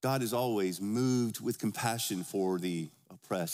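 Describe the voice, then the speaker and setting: The man's voice sits at a medium pitch and shifts with ordinary variation. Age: 50s. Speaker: pastor. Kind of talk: Sunday sermon, expository preaching with scripture read aloud to a congregation. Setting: church service before a congregation. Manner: conversational and informal, with filler words and self-corrections; earnest, emphatic pulpit delivery with rhetorical call-and-response questions.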